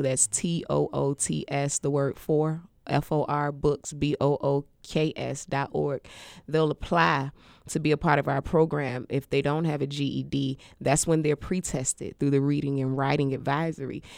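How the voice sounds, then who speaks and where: A woman speaks with a very deep, low pitch and monotone, flat intonation. The recording is very clean and silent behind her, with a dry, close sound and no echo. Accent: American. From Washington D.C. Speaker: non-profit founder. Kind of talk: interview.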